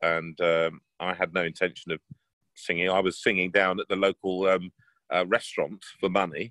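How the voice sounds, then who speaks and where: A man with a very deep, low voice and an English accent, bright and sharp in tone, monotone and flat in intonation, at a moderate pace, in a dry, close sound with no echo. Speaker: bass baritone opera singer. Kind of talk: interview answer. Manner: casual, anecdotal.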